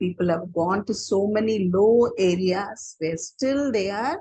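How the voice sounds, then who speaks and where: In an Indian accent, a woman speaks fairly slowly at medium pitch with ordinary pitch variation, her voice somewhat breathy with a dark, mellow tone, recorded dry and close with no echo. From Chennai, India. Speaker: storyteller. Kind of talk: casual talk to audience.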